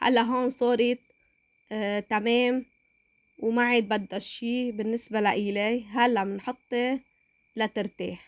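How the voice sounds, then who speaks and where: A woman with a Lebanese accent speaks very slowly at a fairly high pitch in a flat monotone, on a very clean recording with a silent background. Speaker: cooking channel host. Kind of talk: cooking tutorial. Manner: halting.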